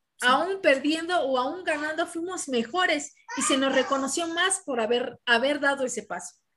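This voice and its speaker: Intonation is lively while the pace stays moderate. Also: woman, high pitch for a woman, hardly any pauses. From Mexico. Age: 30s. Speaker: professional boxer. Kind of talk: interview.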